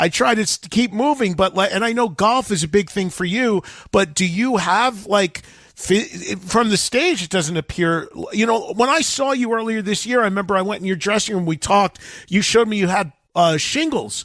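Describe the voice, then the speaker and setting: Ordinary pitch variation and a moderate pace from a man with a high pitch. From New Jersey. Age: 60s. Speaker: radio host. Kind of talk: interview.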